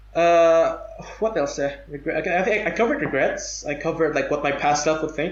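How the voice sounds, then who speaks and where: There is audible room echo and noticeable background noise while a man talks. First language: non-English native tongue. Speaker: podcast guest. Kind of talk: casual chat. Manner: halting.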